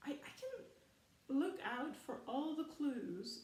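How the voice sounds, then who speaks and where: The speaker is a woman with a German accent. Room echo is audible. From Germany. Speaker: film commentary youtuber. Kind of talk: casual rant video. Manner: animated.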